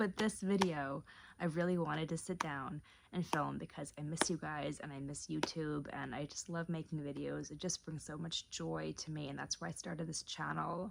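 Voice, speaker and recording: Soft-spoken and whispering, the voice carries vocal fry and moves at a moderate pace. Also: woman. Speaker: lifestyle vlogger. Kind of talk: casual vlog to camera. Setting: at home late at night. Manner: soft-spoken, near whisper; rambling with hesitations.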